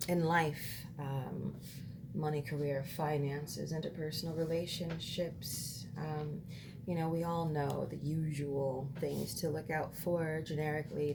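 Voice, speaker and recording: A woman speaks at a fairly slow pace in a very deep, low voice with fairly even intonation, and the room echo is audible. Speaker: tarot reader. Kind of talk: tarot reading monologue. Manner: hesitant, many fillers.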